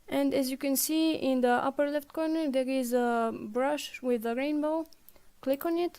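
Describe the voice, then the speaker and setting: At a moderate pace, a woman with a slight non-native accent speaks in a high pitch with fairly even intonation. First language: not English. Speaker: game support staff presenting tutorials. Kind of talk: tutorial.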